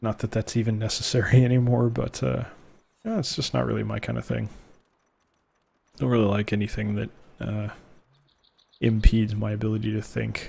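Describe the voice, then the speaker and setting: A soft-spoken man talks at a fairly quick pace in a relaxed tone. Long, frequent pauses break up his speech. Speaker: gaming video creator. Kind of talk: gameplay commentary. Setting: home recording, late at night. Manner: soft-spoken, quiet; relaxed, low energy. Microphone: close to the mic.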